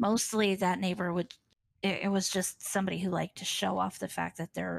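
Speaking at a fairly quick pace, a woman with a fairly low pitch and vocal fry is heard in a dry, close sound with no echo. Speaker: streamer. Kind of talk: casual interview chat.

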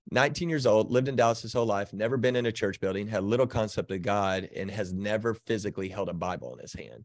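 A man's very fast, fairly low voice with an American accent, ordinary pitch variation and big swings in loudness, over a quiet background. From Texas. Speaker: pastor. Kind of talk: interview.

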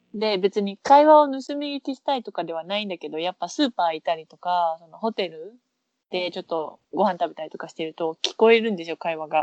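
A woman of medium pitch talks at a fairly quick pace. Her pitch swings very widely, and her loudness swings a lot. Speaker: podcast co-host. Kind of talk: casual chat.

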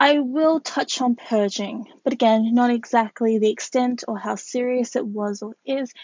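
Speaking fairly slowly in an Australian accent, a woman keeps a high pitch and a fairly even intonation. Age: 20s. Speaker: podcast host and model. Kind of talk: personal monologue.

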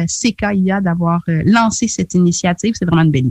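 The voice is somewhat breathy and moves at a moderate pace. The sound is dry and close, with no echo. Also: woman. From Quebec (Charlevoix, Quebec City), Haitian heritage. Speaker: community radio journalist. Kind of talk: radio interview.

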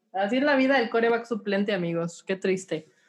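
The speaker is a woman. Her pitch shifts in an ordinary way. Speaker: NFL podcast host. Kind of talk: casual sports chat. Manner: animated.

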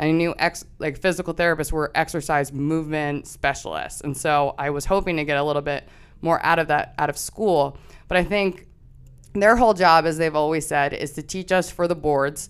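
A very deep, low woman's voice in an American accent, fairly quick and fairly even in intonation, in a very clean recording with a silent background. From US Northeast, Pennsylvania. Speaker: physical therapist. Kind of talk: casual interview chat.

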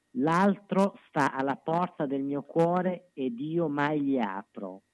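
A man speaks at a very slow pace with a fairly high pitch and very wide pitch swings. The sound is dry and close, with no echo. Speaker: commentator and poetry reader. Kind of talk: reading aloud. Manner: lively.

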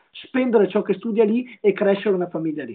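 This man talks at a fairly quick pace, his pitch high and its variation ordinary. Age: 20s. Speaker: young politician and law student. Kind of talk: live-stream interview.

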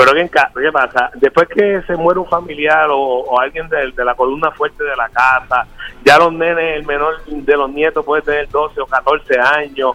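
A man with a fairly high pitch and a normal speaking voice speaks at a moderate pace with fairly even intonation and hardly any pauses, the sound dry and close with no echo. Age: 50s. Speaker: caller. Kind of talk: casual chat. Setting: phone call.

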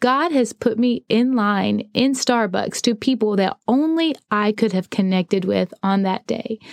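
In a dry, close sound with no echo, a woman with a fairly high pitch talks at a fairly slow pace with hardly any pauses, very even loudness and ordinary pitch variation. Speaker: podcast host and ministry founder. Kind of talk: devotional talk, motivational. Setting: podcast recording. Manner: goofy, voice fluctuates in pitch.

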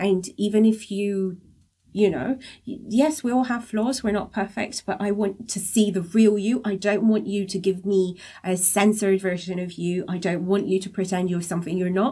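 A woman speaks at a medium pitch in a dark, mellow tone that is somewhat breathy. Her pace is moderate and her pitch varies in an ordinary way. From abroad, moved countries as a child. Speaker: podcast co-host. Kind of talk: casual chat.

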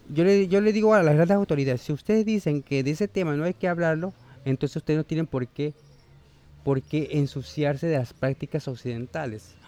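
This man has a fairly high pitch and a dark, mellow tone with ordinary pitch variation. The sound is dry and close, with no echo. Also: fairly quick pace. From Panama. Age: 40s. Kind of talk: interview. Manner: halting.

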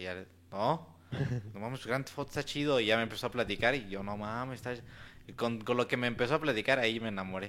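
On a very clean recording with a silent background, a man with a medium pitch and a bright, sharp tone uses ordinary pitch variation and takes long, frequent pauses. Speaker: gamer guest. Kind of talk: casual chat.

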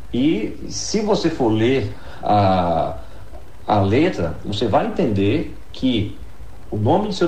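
A man with lively intonation, noticeable background noise and audible room echo. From Bahia, northeastern Brazil (Jacobina). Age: 30s. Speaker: lawyer and law professor. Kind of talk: radio interview.

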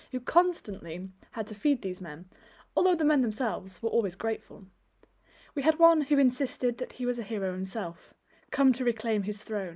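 A woman's fairly high, dark, mellow and warm tone, with very wide pitch swings, at a fairly quick pace. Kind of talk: scripted story narration, audiobook reading of a first-person myth tale. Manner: storytelling, wry and wistful, with dry humour and warm expressive pacing; measured, rhythmic and lyrical, almost bardic in delivery.

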